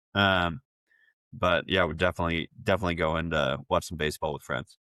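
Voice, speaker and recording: A man with a Texan accent speaks in a very deep, low pitch. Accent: rich Texan. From Texas, Brenham. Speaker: agency founder and CEO. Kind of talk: podcast interview.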